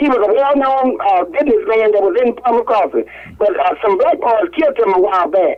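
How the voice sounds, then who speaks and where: A woman with a Mississippi accent and a high pitch talks at a fairly quick pace, her pitch swinging very widely while her loudness stays very even, over noticeable background noise. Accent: US Southern, Mississippi. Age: 80s+. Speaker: caller. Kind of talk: radio call-in talk. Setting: phone call.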